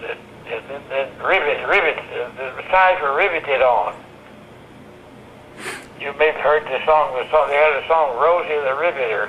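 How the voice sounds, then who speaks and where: Fairly even intonation broken by long, frequent pauses, over noticeable background noise. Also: man, fairly high pitch for a man, moderate pace. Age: 80s+. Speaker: retired WWII bomber factory inspector. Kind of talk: interview answer.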